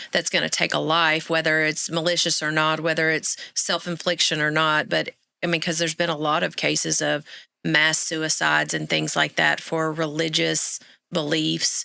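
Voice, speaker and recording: On a very clean recording with a silent background, a woman with an Arkansas accent talks at a moderate pace with very even loudness. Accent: Arkansas twang. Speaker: podcast co-host. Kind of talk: casual chat.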